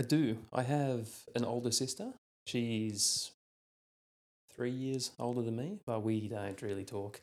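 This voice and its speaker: A man with an Australian accent speaks at a fairly slow pace, leaving long, frequent pauses. His pitch is medium with ordinary variation, on a very clean recording with a silent background. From Australia, New South Wales mid north coast. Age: 30s. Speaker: police officer. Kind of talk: casual chat.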